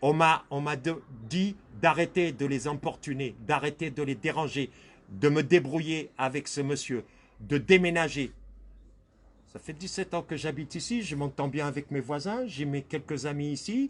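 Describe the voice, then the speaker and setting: A man with a fairly high voice speaks at a fairly slow pace, with long, frequent pauses. His pitch variation is ordinary, and the background is quiet. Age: 60s. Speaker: victim of racial harassment. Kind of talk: interview testimony.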